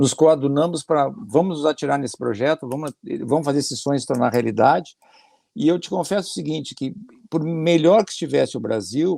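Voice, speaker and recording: His voice has a dark, mellow tone and a fairly high pitch for a man, with lively intonation throughout. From southern Brazil, Porto Alegre. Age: 60s. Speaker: business administrator, immigrant. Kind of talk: podcast interview.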